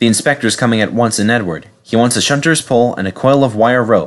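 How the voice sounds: The clip has a natural reading voice. That is the whole of it.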